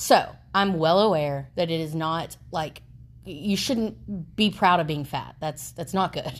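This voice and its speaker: A woman's fairly low voice with vocal fry, at a very slow pace. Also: ordinary pitch variation. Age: 30s. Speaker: podcast co-host. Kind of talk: casual chat.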